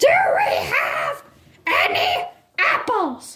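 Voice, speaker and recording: A cartoonish character voice shouts at an extremely high pitch with very wide pitch swings. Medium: puppet. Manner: bossy.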